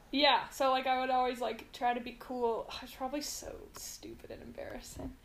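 A woman talks at a moderate pace with an American accent. Room echo is audible. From US West Coast, Mountain View, California. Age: 20s. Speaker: podcast guest. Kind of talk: casual chat.

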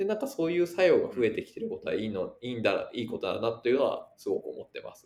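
A man talking at a very fast pace. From Japan, Yamaguchi. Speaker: venture capitalist. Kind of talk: casual chat. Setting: online call.

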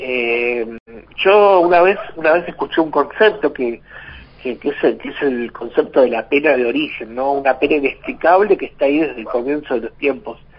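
A man talks with lively intonation at a moderate pace, his pitch fairly high, while noticeable background noise continues. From Argentina, Hurlingham (Buenos Aires). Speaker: teacher and biographer. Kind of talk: radio interview.

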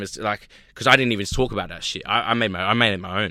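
In a very clean recording with a silent background, a man with an American accent speaks at a medium pitch in a bright, sharp tone. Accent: Australian with slight American twang. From Australia (Sydney, Maroubra). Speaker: hip hop artist. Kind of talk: casual chat. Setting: studio.

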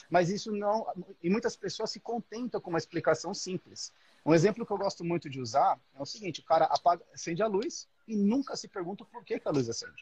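A man speaks at a high pitch with lively intonation and a fairly quick pace. The sound is dry and close, with no echo. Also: big swings in loudness. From Brazil, São Paulo. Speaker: electrical engineer. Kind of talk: casual chat.

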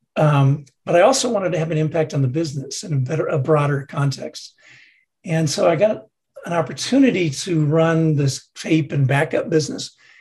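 At a fairly quick pace, a man with an ordinary speaking voice talks at a fairly high pitch with ordinary pitch variation. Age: 60s. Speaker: retired tech executive and board member. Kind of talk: interview.

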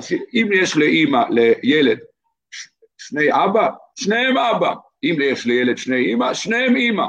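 With a high pitch and very wide pitch swings, a man talks fairly slowly, pausing long and often. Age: 50s. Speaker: lawyer. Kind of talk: casual interview conversation.

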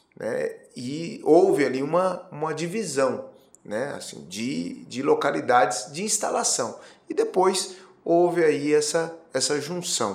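Against audible room echo, a man with a fairly high voice for a man talks very slowly, his pitch swinging very widely. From Brazil, Campo Grande (Mato Grosso do Sul). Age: 40s. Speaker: politician. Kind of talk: interview. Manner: hesitant, many fillers.

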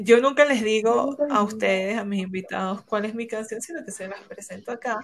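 An ordinary speaking voice at a moderate pace, with big swings in loudness, ordinary pitch variation and hardly any pauses. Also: woman, fairly high pitch for a woman. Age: 30s. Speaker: podcast host. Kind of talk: casual chat.

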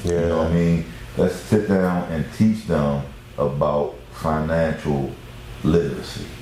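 A man with a very deep, low pitch and ordinary pitch variation talks at a fairly slow pace. There is audible room echo along with noticeable background noise. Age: 50s. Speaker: real estate agent. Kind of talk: casual chat.

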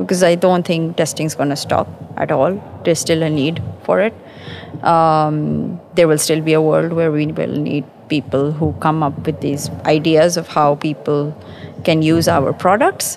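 A woman with a very deep, low pitch talks at a moderate pace and ordinary pitch variation, noticeable background noise around her. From Pakistan. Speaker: quality engineering manager. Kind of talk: conversational interview. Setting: live at a conference.

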